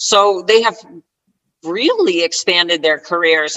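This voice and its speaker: At a fairly slow pace, a woman talks in a plain, everyday voice, fairly low in pitch, with an American accent. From US Northeast (northern New Jersey). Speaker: retired scrum master and agile coach. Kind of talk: interview.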